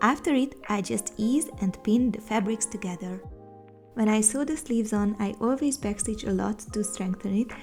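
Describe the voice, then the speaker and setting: Over music in the background, a woman talks at a fairly high pitch. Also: ordinary pitch variation, moderate pace. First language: not English. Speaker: sewing content creator. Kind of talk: sewing tutorial voiceover. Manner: upbeat, casual.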